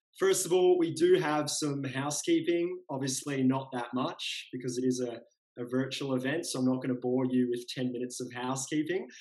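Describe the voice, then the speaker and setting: A man holds a moderate pace and fairly even intonation, the background quiet. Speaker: event host. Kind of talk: event hosting address. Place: home room. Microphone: webcam.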